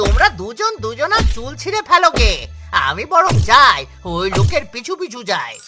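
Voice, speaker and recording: A cartoonish character voice, high in pitch, speaks at a moderate pace with clear music in the background. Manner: greedy, sly.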